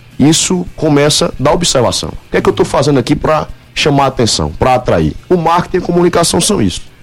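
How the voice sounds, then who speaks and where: A man's fairly high voice at a very fast pace with hardly any pauses, very even loudness and ordinary pitch variation, over noticeable background noise. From Paraíba, Brazil (Guarabira). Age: 20s. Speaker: law student and marketing director. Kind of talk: radio interview.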